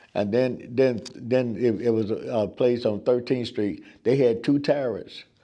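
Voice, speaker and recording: A man is speaking. His tone is dark and mellow. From southern Illinois (Cairo). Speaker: oral history interviewee. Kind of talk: oral history interview. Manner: halting, many fillers and repetitions.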